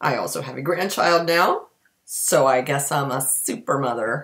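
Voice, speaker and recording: The voice moves at a moderate pace with fairly even intonation. The background is quiet. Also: woman. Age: 50s. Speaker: community theatre actor. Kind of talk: casual talk to camera. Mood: wry, self-mocking. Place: kitchen. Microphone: webcam.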